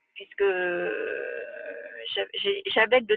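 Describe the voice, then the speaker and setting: Here a woman speaks at a very slow pace. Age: 60s. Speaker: customer giving testimonial. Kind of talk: testimony.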